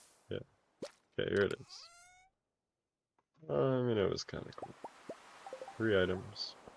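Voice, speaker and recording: Music plays in the background as a man talks at a moderate pace. His loudness swings widely, and he leaves long, frequent pauses. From Canada, Calgary. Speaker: video game streamer. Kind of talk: casual live-stream chat while gaming. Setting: live stream.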